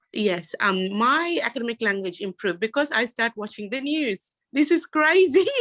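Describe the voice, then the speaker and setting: Recorded dry and close with no echo, a woman talks at a moderate pace with hardly any pauses, her fairly high pitch making very wide swings. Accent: non-native. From Sri Lanka. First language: not English. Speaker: university student panelist. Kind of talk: panel discussion.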